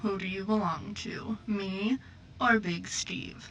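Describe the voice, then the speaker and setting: Over light background noise, a woman puts on a character voice at a medium pitch, speaking fairly slowly. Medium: game stream.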